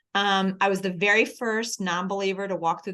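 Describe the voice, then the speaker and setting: Bright and sharp in tone, a woman speaks with an American accent at a medium pitch. Her pace is fairly quick, against a quiet background. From Philadelphia, US East Coast. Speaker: church staff speaker. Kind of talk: coaching talk. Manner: fast; animated.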